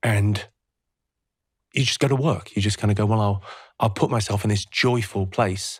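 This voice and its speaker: Somewhat breathy, a man talks at a moderate pace on a very clean recording with a silent background. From England. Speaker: comedian. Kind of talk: podcast interview answer. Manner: reflective, hesitant.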